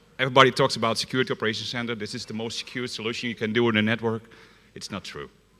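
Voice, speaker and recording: Speaking at a very fast pace, a man uses a Dutch accent and a fairly low pitch. His tone is bright and sharp. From Netherlands. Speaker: security consultant. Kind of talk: conference talk. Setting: stage with audience.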